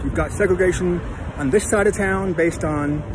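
The speech moves at a moderate pace with ordinary pitch variation. There is noticeable background noise, and the sound is dry with no echo. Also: man. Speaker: travel vlogger. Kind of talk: casual vlog commentary. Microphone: phone near.

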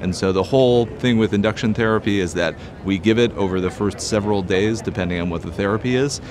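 Over noticeable background noise, a man with a fairly low pitch talks with fairly even intonation in a dry recording with no echo. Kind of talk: interview answer. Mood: calm, explanatory. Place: hall.

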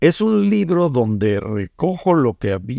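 Against a quiet background, a man talks with lively intonation in a dark, mellow tone, and the sound is dry with no echo. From Mexico, Veracruz (Tuxpan); Veracruz, Mexico. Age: 70s. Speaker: academic and pollster, author; guest. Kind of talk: interview about his book. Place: home room. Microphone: studio mic.

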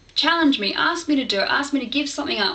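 A woman with an Australian accent talks at a moderate pace, her intonation lively. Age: 20s. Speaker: vlogger. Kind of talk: vlog monologue to camera. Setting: home video recording, low-quality camera. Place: home room. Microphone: webcam.

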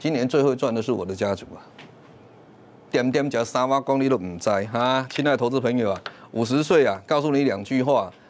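Ordinary pitch variation from a man moving at a fairly quick pace. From Taiwan. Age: 50s. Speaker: stock market commentator. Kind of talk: sales pitch. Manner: animated. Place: studio. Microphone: lapel.

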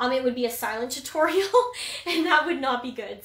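In a raised, projected voice with a Canadian accent, the speaker uses lively intonation and a bright, sharp tone, with audible room echo. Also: woman, quiet background. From Ontario, Canada. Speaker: painting instructor. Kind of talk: tutorial. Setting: livestream. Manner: casual, chatty. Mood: friendly, upbeat. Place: home room. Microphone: phone near.

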